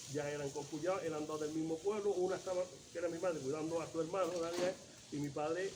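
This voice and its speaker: Through noticeable background noise, a man talks at a very fast pace with fairly even intonation. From Córdoba, Andalusia, Spain. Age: 70s. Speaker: oral history interviewee. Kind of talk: oral history interview. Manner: halting.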